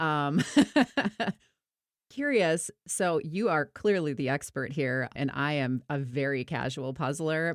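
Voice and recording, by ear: Very deep and low in pitch, a woman speaks with a Minnesota accent and lively intonation. The recording is very clean with a silent background.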